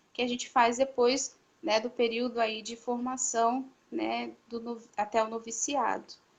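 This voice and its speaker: Fairly slow in pace, a woman talks at a fairly high pitch. Her intonation is monotone and flat. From Paraná, southern Brazil. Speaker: religious sister. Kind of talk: vocational testimony. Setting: online live stream.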